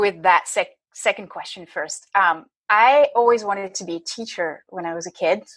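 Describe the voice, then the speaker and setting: Against a quiet background, a woman talks at a medium pitch with a slight French accent. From France. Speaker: leadership coach. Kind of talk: podcast interview.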